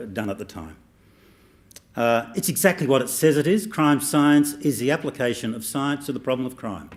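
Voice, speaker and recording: A man with an Australian accent and a medium pitch speaks with very wide pitch swings. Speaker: professor. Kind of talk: speech.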